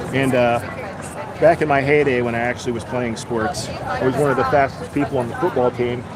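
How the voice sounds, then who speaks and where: A man speaks at a fairly quick pace with fairly even intonation, crowd noise behind him and audible echo in the room. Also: medium pitch for a man. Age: 40s. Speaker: livestreamer filming a protest. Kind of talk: live stream commentary.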